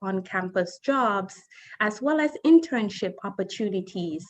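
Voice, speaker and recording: With a Caribbean accent, the speaker talks at a fairly slow pace with lively intonation. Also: woman. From Saint Kitts and Nevis. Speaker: college admissions representative. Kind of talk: presentation.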